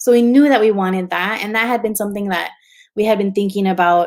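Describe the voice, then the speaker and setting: A woman speaks with a Spanish accent on a very clean recording with a silent background. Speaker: photographer and book publisher. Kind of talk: interview conversation. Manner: casual, filler-heavy.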